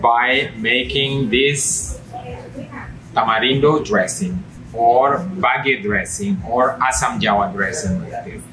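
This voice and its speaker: Over noticeable background noise and audible room echo, a man at a medium pitch speaks very slowly with lively intonation. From Indonesia, Nusa Tenggara. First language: Indonesian regional language. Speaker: home chef. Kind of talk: cooking demonstration. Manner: halting.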